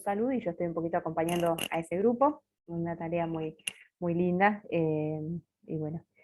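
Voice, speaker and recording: With fairly even intonation, a woman talks at a fairly low pitch. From Buenos Aires, Argentina. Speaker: religious sister giving formation talk. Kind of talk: formation talk. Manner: fast.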